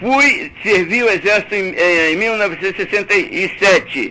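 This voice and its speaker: A man speaks at a moderate pace in a raised, projected voice, pitched high with ordinary pitch variation. Noticeable background noise runs underneath. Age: 70s. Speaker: caller. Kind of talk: heated debate. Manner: animated.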